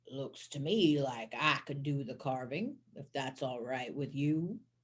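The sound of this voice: Speaking at a fairly slow pace, the put-on character voice is gravelly and sits at a low-to-middle pitch.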